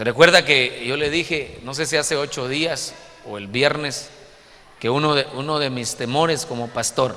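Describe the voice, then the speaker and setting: With ordinary pitch variation, a man keeps a moderate pace as noticeable background noise runs behind him. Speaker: pastor. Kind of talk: sermon.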